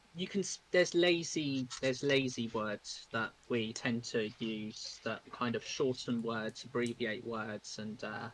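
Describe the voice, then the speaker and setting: With a British accent, a man talks at a fairly slow pace and medium pitch, using ordinary pitch variation and hardly any pauses. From United Kingdom. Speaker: streamer. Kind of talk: casual chat.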